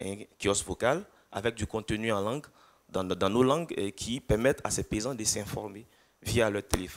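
A man at a moderate pace, fairly low in pitch with ordinary pitch variation, in an ordinary speaking voice. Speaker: agricultural platform project leader; conference speaker. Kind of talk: project presentation. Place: hall. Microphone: handheld.

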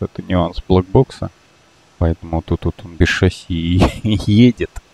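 Very deep, low male voice, somewhat breathy and dark and mellow in tone, in a dry, close sound with no echo. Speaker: flight simulator gamer and video creator. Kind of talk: casual gameplay walkthrough with tutorial explanations. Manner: loose, rambling narration full of fillers like вот and ну; self-correcting, mildly exasperated asides at mistakes.

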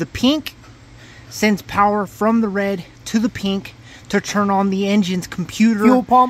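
The speech goes at a fairly slow pace with long, frequent pauses. The sound is dry with no echo. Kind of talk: tutorial. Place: car.

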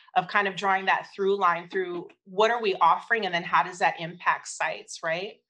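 A woman with an American accent talks at a moderate pace and medium pitch, her tone bright and sharp and her intonation fairly even, over a quiet background. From Oakland, California; California. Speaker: family engagement specialist; presenter. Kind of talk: conference presentation. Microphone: video call.

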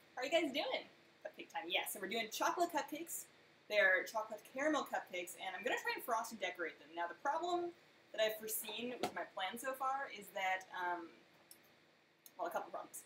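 In a room with audible echo and light background noise, a woman speaks with very wide pitch swings. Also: big swings in loudness. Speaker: baking streamer. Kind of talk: casual live stream chat. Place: kitchen. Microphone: webcam.

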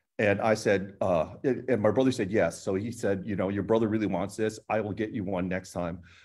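A man with an American accent talks at a fairly quick pace in an ordinary speaking voice, his fairly low pitch held to a fairly even intonation. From US (emigrated from Hong Kong at age two). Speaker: painter and art professor; art professor. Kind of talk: group panel discussion. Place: studio. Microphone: video call.

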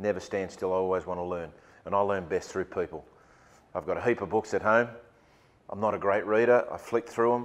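With an Australian accent, a man speaks at a very fast pace in a fairly low pitch with fairly even intonation. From Sydney, Australia. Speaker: rugby league football director. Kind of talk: keynote talk to business audience. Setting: stage with audience. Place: meeting room.

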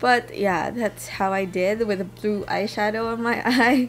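Light background noise can be heard. The speaker goes at a fairly slow pace with ordinary pitch variation. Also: woman. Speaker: beauty vlogger. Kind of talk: casual vlog chat. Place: home room. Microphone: camera far.

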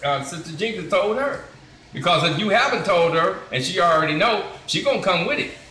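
In a room with audible echo, a man speaks at a fairly quick pace. His pitch is high. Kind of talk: casual group discussion. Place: shop. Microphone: phone near.

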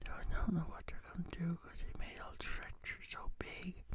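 A man whispering in a gentle tone. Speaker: ASMR creator. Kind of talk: casual talk to camera, ASMR whispering. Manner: gentle, soft-spoken. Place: home room. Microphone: studio mic.

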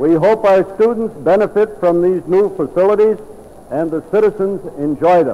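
Speaking at a moderate pace, a man with a high pitch shows ordinary pitch variation. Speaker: school board trustee. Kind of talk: formal dedication speech. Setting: recorded at a school gymnasium event. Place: hall. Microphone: old recording.

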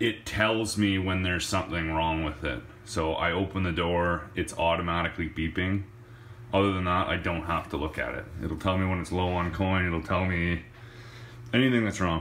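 A very deep, low male voice at a moderate pace, with ordinary pitch variation over light background noise. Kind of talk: casual vlog walk-through. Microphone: phone near.

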